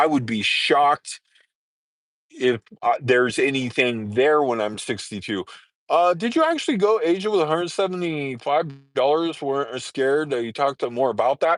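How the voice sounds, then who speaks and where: In a dry, close recording with no echo and a quiet background, a man with an American accent speaks at a moderate pace. He has an unremarkable speaking voice, fairly high in pitch, with lively intonation. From Southern California. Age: 50s. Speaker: live streamer, nomad. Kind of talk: casual live stream chat. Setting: parked vehicle by highway.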